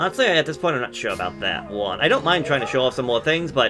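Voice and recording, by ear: Reading aloud in a natural voice, intonation lively throughout.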